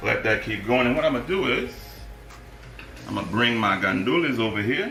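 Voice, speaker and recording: There is audible room echo and noticeable background noise as a man speaks at medium pitch and a moderate pace. His pitch makes very wide swings. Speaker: cooking show host. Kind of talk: cooking tutorial. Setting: live stream. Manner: casual, chatty.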